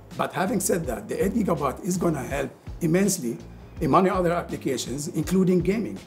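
A man speaks fairly quickly. Faint music plays behind him. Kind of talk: interview answer. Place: meeting room. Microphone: lapel.

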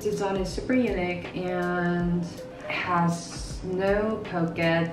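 This woman talks very slowly in a fairly low pitch, with fairly even intonation. Noticeable noise sits in the background. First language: Korean. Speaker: fashion YouTuber. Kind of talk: casual talk to camera. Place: home room. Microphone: camera far.

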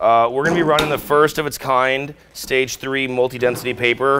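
The intonation is monotone and flat. Light background noise can be heard. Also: man. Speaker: equipment demonstrator. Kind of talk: tutorial. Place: workshop. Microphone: lapel.

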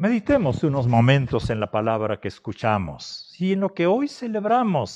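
Against a quiet background, a man speaks at a fairly slow pace. His pitch is fairly high and swings very widely. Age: 60s. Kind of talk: sermon. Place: home room.

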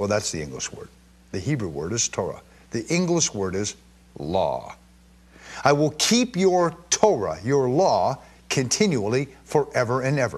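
A man's medium-pitched voice with vocal fry, very wide pitch swings, a fairly slow pace and long, frequent pauses. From Israel. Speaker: bible teacher. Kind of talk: sermon.

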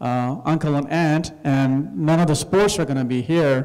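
Over a quiet background, a man speaks in a dark, mellow tone at a moderate pace with ordinary pitch variation. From Karachi, Pakistan. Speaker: chief of police. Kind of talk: storytelling talk to audience. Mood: calm reflective. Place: hall. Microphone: handheld.

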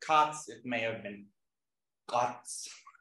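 A man at a very slow pace with ordinary pitch variation and audible room echo. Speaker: linguistics lecturer. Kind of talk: lecture. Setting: classroom with live audience. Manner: informal, with frequent fillers and hesitations. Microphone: webcam.

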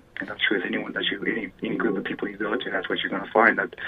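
A man with an American accent talks at a very fast pace. There is noticeable background noise. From Flagstaff, Arizona. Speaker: Native community activist. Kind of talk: radio interview. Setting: phone call. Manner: halting, many fillers.

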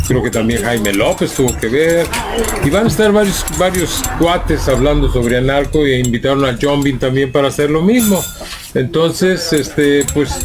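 Over noticeable background noise, a man talks at a moderate pace with a fairly high pitch and lively intonation. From Guadalajara, Mexico. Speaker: podcast host. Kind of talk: casual chat interview. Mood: relaxed, friendly. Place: shop. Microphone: studio mic.

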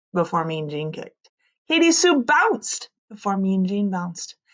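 The background stays quiet. Words are read in a natural voice.

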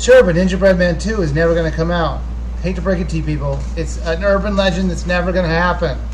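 A man speaks at a very fast pace in a very deep, low voice. His intonation is monotone and flat, with light background noise behind him. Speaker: YouTube gaming channel host. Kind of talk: casual live Q&A stream. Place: home room. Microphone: webcam.

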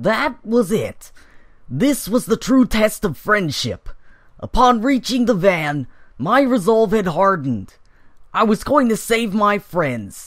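A man uses a put-on character voice pitched high. He delivers it at a fairly slow pace. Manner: mock-epic, earnest.

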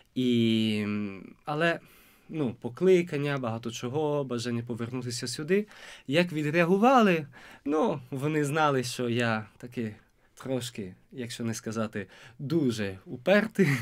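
With an Italian accent, a man speaks at a fairly slow pace with lively intonation against a quiet background. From Italy. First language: Italian (speaking Ukrainian). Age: 20s. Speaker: seminarian; interview guest. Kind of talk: interview; interview answer. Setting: studio. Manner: halting. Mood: warm, smiling. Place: studio. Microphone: studio mic.

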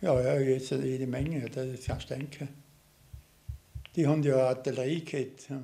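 The voice is somewhat breathy, with a dark, mellow tone. It moves at a moderate pace in a flat monotone. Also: man. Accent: Vorarlberg. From Austria, Vorarlberg. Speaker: war veteran. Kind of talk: interview testimony. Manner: halting. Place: home room. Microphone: studio mic.

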